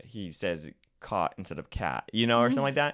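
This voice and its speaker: Using vocal fry, a man speaks at a moderate pace with very wide pitch swings. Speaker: social media content creator. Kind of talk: podcast interview. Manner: halting, with repetitions and pauses.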